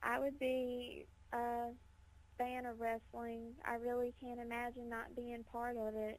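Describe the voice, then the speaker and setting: A woman with a Mississippi accent speaks at a fairly slow pace. Her high-pitched voice is monotone and flat. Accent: Southern US (Mississippi). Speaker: professional wrestler. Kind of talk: radio interview.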